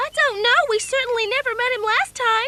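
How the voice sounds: A squeaky, cartoonish character voice at an extremely high pitch rattles along at a fairly quick pace.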